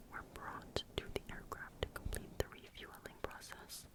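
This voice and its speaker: Someone whispers over noticeable background noise. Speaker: ASMR creator. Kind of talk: ASMR true crime narration. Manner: whispered.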